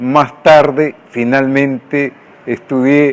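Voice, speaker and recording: Noticeable background noise is present. The speech moves at a very slow pace. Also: man. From Peru, Lima. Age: 70s. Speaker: writer. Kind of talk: documentary interview.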